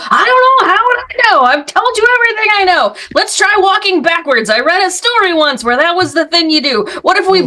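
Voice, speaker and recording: Using a put-on character voice, a woman speaks at a fairly quick pace in an extremely high pitch. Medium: actual play. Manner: nervous, rambling.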